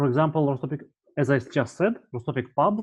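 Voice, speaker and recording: At a moderate pace, a man speaks with a Russian accent. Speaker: university lecturer. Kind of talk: tutorial. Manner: halting.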